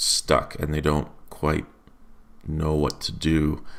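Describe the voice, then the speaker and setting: Vocal fry colors a man's very deep, low-pitched voice. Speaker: Linux tutorial presenter. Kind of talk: screen-recorded software tutorial. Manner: casual, hesitant with fillers.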